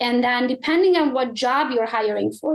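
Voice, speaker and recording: A woman with high pitch talks at a fairly quick pace with ordinary pitch variation. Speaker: real estate agent and team leader. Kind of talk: podcast interview. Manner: fast; blunt.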